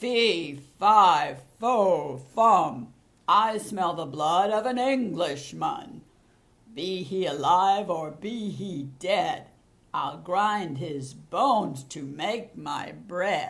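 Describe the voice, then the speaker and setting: Bellowing in a put-on character voice, a man speaks very slowly at a high pitch, with an audible echo around him. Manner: booming bellow.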